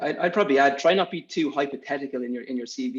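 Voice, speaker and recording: Talking very fast, a man with an Irish accent keeps his intonation fairly even. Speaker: recruiter on interview panel. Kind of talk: panel discussion.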